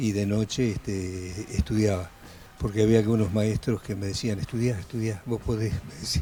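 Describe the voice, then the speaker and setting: Over music in the background, a man speaks at a moderate pace with a fairly low pitch. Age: 80s+. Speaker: adult night-school student. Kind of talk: TV interview.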